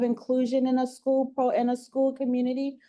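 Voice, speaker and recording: At a moderate pace, the voice carries a dark, mellow tone. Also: woman. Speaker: nonprofit vice president, guest presenter. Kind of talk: presentation. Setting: meeting room with mics. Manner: trying to project loudly.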